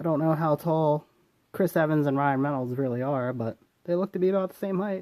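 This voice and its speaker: This man talks at a fairly quick pace in a fairly high pitch with ordinary pitch variation and a dark, mellow tone, the sound dry and close with no echo. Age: 20s. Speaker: toy reviewer. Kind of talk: product review. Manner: casual, informal.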